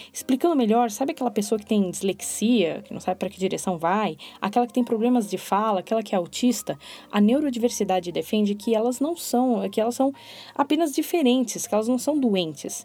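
At a fairly quick pace, a woman talks with a dark, mellow tone at a fairly high pitch. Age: 30s. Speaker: podcast host. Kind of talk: solo podcast monologue. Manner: expressive.

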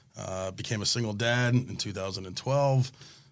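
A man with an American accent uses a normal speaking voice with ordinary pitch variation. The recording is very clean, with a silent background. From South Florida. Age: 40s. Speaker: fishing tackle shop owner. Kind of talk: casual chat.

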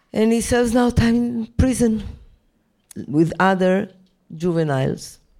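The voice has a dark, mellow tone, lively intonation and very even loudness. It moves at a fairly slow pace with long, frequent pauses. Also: woman, fairly high pitch for a woman. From Israel. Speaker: human rights lawyer. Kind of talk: panel discussion Q&A.

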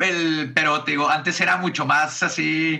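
Vocal fry marks this man's fairly high voice, which has a bright, sharp tone. He keeps a moderate pace with ordinary pitch variation. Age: 30s. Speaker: comedian and podcast host. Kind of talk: casual interview chat.

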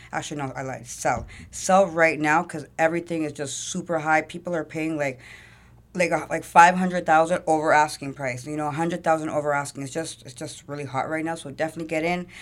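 A woman with a Toronto accent speaks at a fairly quick pace in a very deep, low pitch, with fairly even intonation and big swings in loudness. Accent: Toronto Canadian English. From Toronto, Canada. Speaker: entrepreneur and music manager. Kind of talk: casual interview.

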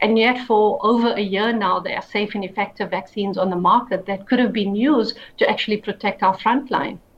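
With a South African accent, a woman speaks at a fairly quick pace with hardly any pauses and fairly even intonation. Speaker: human rights lawyer and activist. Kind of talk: interview.

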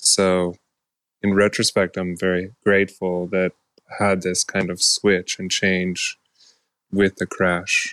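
With a very deep, low pitch, a man talks at a very slow pace in a monotone, flat delivery full of long, frequent pauses, the sound dry and close with no echo. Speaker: retired professional cyclist. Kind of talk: interview. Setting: remote recording.

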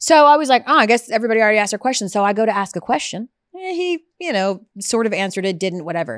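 On a very clean recording with a silent background, a woman races along at a very fast pace with hardly any pauses, her fairly high voice animated and swinging very widely in pitch. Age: 40s. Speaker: sports show host. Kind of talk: casual banter. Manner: loud.

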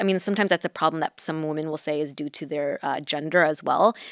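A woman speaks with a Southern California accent and fairly even intonation. The recording is very clean with a silent background, and the sound is dry and close with no echo. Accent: general American, Southern California. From Orange County, California. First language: Mandarin. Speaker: podcast co-host. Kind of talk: casual chat.

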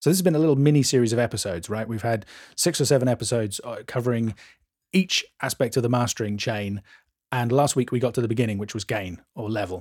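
Speaking at a very fast pace in a British accent, a man holds a medium pitch with ordinary pitch variation in a very clean recording with a silent background. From England. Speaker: mastering engineer and podcast co-host. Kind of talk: casual chat.

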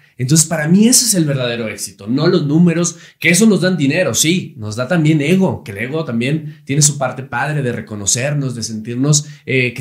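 A man's somewhat breathy, fairly high voice with lively intonation and hardly any pauses. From Monterrey, Nuevo León, Mexico. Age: 30s. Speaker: TV host and actor. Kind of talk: casual chat.

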